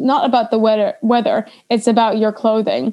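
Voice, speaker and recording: A woman's dark, mellow, fairly high voice, moderate in pace, with monotone, flat intonation. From Netherlands, grew up internationally. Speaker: agile coach, expat. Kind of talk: casual interview chat.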